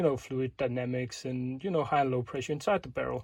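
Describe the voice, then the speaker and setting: This man's voice sits at a medium pitch and sounds somewhat breathy. He talks at a fairly quick pace. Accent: Danish. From Denmark. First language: Danish. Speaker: airsoft tech video maker. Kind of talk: tutorial. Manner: casual, with many fillers.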